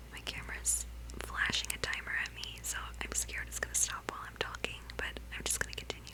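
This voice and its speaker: Her pitch is very deep and low, and her intonation monotone and flat. Noticeable background noise surrounds this woman's voice. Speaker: ASMR creator. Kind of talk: casual chatty talk to camera, ASMR intro. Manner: soft, cute, chatty, hesitant with filler words.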